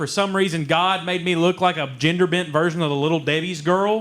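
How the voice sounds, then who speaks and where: Noticeable background noise sits under a man with an Eastern Kentucky accent. His pitch is high, his pace moderate and his intonation fairly even. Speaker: comedian. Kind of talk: stand-up. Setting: stage with audience.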